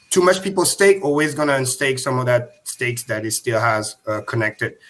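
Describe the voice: A man speaks at a fast pace with a fairly bright tone and lively intonation.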